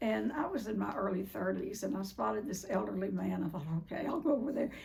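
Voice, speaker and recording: A woman talks at a very fast pace. Noticeable background noise and audible room echo surround her. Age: 70s. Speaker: recovery speaker. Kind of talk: talk to a group. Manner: casual.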